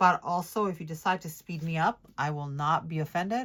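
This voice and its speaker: In a very clean recording with a silent background, a woman speaks with a fairly low pitch. She keeps a moderate pace and ordinary pitch variation. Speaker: planner decorating youtuber. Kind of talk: casual voiceover tutorial while crafting. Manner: hesitant, many ums.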